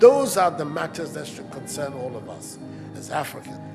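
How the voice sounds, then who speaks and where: Over music in the background, a man with a Ghanaian accent talks at a moderate pace in a fairly high pitch for a man. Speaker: head of state. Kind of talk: public speech answering a question. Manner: soothing.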